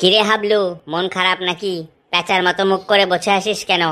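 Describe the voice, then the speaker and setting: In a cartoonish character voice, a woman speaks at medium pitch and a moderate pace with monotone, flat intonation. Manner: chatty, teasing, colloquial.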